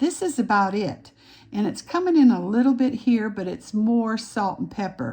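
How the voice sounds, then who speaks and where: A woman speaks at a moderate pace with a fairly high pitch. Her tone is dark and mellow, somewhat breathy, with lively intonation. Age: 70s. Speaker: aesthetician and makeup artist. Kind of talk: tutorial. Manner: halting.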